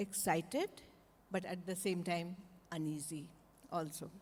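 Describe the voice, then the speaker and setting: Somewhat breathy, this woman's voice sits at a medium pitch. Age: 60s. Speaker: market research executive. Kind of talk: panel discussion.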